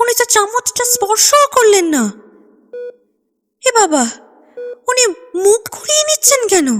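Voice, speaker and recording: A woman puts on a character voice with very wide pitch swings, speaking at a moderate pace in a dry, close sound with no echo. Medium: audio drama.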